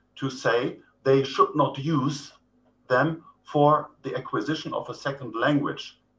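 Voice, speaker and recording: A man talks with a German accent. His pace is very slow. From Germany. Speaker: professor. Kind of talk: lecture. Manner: hesitant, many fillers.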